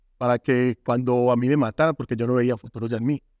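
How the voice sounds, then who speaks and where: A man's fairly quick, monotone delivery with flat intonation, a dry sound with no echo, and a quiet background. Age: 40s. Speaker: former gang member turned artist and speaker; speaker. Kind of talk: testimony. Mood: earnest, emotional life story. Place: studio. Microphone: lapel.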